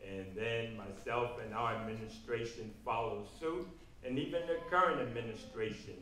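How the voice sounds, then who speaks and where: A man talks at a fairly slow pace and medium pitch. There is audible room echo and noticeable background noise. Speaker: political candidate. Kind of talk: political forum answers.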